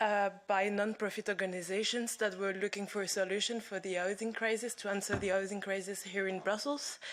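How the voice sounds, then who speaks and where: In a non-native accent, a woman speaks at medium pitch with fairly even intonation. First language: not English. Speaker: housing nonprofit worker. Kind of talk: conference presentation.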